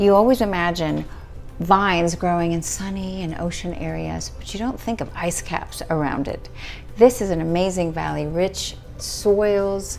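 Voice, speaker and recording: A woman at a moderate pace with big swings in loudness, audible room echo, and music in the background. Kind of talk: wine tasting review video. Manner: animated.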